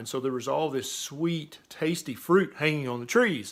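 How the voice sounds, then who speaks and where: A man with an ordinary speaking voice, moderate pace and ordinary pitch variation. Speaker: physician. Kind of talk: casual talk to camera.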